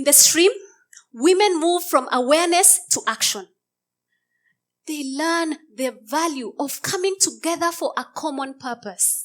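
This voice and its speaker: The recording is very clean with a silent background. A woman talks fairly slowly at an extremely high pitch, her intonation lively. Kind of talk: inspirational stage talk.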